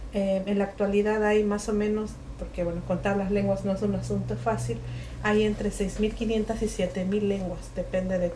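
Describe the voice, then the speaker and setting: A woman with a Mexican accent at a moderate pace, amid audible room echo and noticeable background noise. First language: Mixe (speaking Spanish). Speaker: writer and linguist. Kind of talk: book presentation talk. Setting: bookshop event with audience. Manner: hesitant, many fillers.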